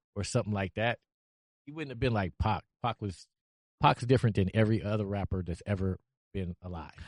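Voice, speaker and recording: A man with an American accent, fairly low-pitched, at a fairly quick pace with long, frequent pauses, ordinary pitch variation, and a dry, close sound with no echo against a quiet background. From Cleveland, Ohio. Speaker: podcast guest. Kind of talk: casual chat.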